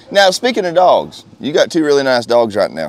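A man with a Southern US accent at a moderate pace, in a dry sound with no echo. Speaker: hunting channel interviewer. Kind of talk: casual interview. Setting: outdoors at a hound event. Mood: friendly, relaxed. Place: open country. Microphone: lapel.

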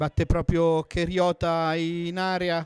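Animated and excited, a man with a high pitch speaks in a dry, close sound with no echo, in a very clean recording with a silent background. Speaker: football match commentator. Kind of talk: live football commentary. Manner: animated, excited on goals.

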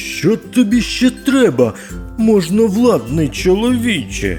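A put-on character voice speaks at a fairly slow pace over clear music in the background. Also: man, high pitch for a man.

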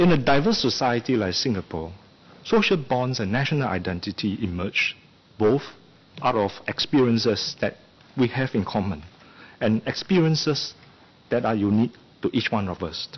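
Delivery runs at a moderate pace, broken by long, frequent pauses. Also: man. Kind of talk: formal parliamentary speech. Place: hall. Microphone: podium.

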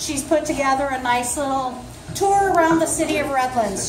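Noticeable background noise is present. A woman is speaking. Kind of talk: meeting announcements. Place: cafe. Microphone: camera far.

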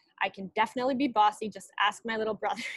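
A woman talks at a very fast pace with a bright, sharp tone. Her voice sounds dry, with no echo. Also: quiet background. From Canada, Winnipeg. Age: 20s. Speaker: alumna keynote speaker. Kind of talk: commencement speech. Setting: video call. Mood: earnest, encouraging. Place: home room. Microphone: earbuds.

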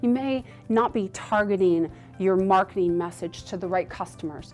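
With faint music behind her, a woman talks at a moderate pace. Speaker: conference speaker. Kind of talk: promotional explainer to camera. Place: studio.

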